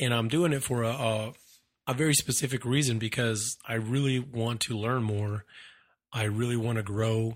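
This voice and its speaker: At a moderate pace, a man with a medium-pitched, somewhat breathy voice speaks with fairly even intonation on a very clean recording with a silent background. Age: 30s. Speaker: podcast host. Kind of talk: solo monologue, motivational talk. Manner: casual, with many repetitions and fillers.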